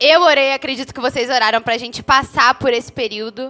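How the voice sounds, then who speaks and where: Music plays in the background. The pitch of the speech varies in an ordinary way. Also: woman. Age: 20s. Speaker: podcast co-host. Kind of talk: casual chat.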